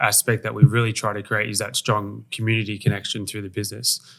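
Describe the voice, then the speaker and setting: A man with an Australian accent speaks at a very fast pace in a fairly low pitch, with a bright, sharp tone. His intonation is monotone and flat, and the recording is very clean with a silent background. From Australia, Sydney. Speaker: wellness center owner. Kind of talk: casual interview.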